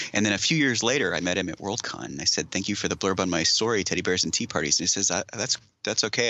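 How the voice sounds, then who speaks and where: A man at a very fast pace, with lively intonation and a fairly low pitch. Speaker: author. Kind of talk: casual interview chat.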